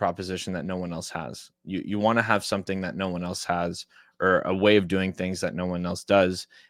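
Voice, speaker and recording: A man with a fairly low voice is heard in a very clean recording with a silent background and a dry, close sound with no echo. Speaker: startup mentor giving a talk. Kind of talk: live-streamed presentation. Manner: fast.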